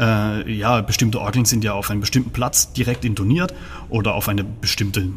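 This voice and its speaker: The speaker is a man. Noticeable background noise can be heard behind him. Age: 30s. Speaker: organist. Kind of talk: interview.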